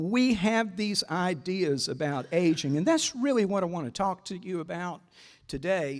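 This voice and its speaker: This man speaks at a moderate pace with a Southern US accent and lively intonation. His pitch is high. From US South, South Carolina (Greenwood). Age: 60s. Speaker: advocate for older people. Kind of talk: talk to a breakfast audience. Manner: conversational, many fillers and repeats.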